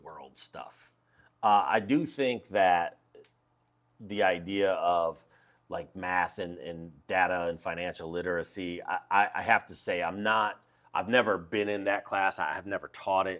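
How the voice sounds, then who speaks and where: A man's fairly low, ordinary speaking voice with ordinary pitch variation and big swings in loudness, at a fairly slow pace, on a very clean recording with a silent background. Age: 40s. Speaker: high school teacher. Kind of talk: casual interview. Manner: relaxed, conversational.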